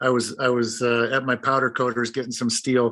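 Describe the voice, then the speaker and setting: Speaking at a moderate pace, a man keeps a medium pitch in a monotone, flat delivery. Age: 60s. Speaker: former hammer thrower and coach. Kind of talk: casual chat.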